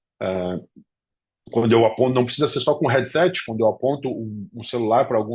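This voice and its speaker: At a very fast pace, a somewhat breathy man speaks at a medium pitch. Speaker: professor. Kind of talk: lecture.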